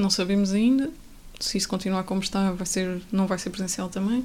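Her pace fairly quick, a woman speaks at a medium pitch. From Portugal, Coimbra. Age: 20s. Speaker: architecture student. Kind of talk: casual chat.

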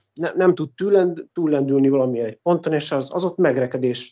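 A man's speech races along at a very fast clip, his pitch rising and falling in an ordinary way. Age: 40s. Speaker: music composer. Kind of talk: interview.

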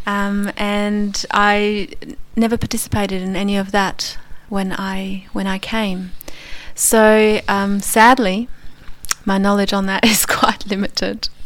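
A woman with an Australian accent, medium pitch, flat monotone intonation and a very slow pace, over noticeable background noise. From Poland, then Australia from about age 10. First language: Polish. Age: 40s. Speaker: immigrant interviewee. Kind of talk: radio interview. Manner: hesitant, many fillers.

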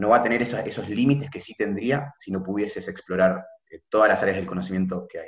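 A man talks in a plain, everyday voice, keeping to a moderate tempo. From Argentina, Buenos Aires. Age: 20s. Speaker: medical student. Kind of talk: casual chat.

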